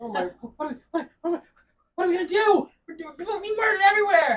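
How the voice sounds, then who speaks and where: This put-on character voice sits at an extremely high pitch and races along at a very fast pace. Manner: panicked, comedic.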